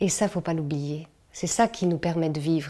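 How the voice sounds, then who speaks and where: In a dark, mellow tone, a woman speaks at a fairly slow pace. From France. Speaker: cultural organizer and puppeteer. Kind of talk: interview. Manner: hesitant, many fillers.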